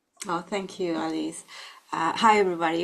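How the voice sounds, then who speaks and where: A woman with a Latin American accent talks at a fairly quick pace. Her pitch is fairly low and her intonation fairly even. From Colombia. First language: Spanish. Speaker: psychologist and end-of-life doula. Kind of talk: webinar presentation. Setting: online webinar.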